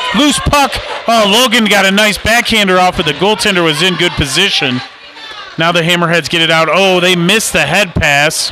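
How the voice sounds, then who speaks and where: A man's high, raised, projected voice at a moderate pace, with ordinary pitch variation, very even loudness, and noticeable background noise. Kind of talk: live sports commentary.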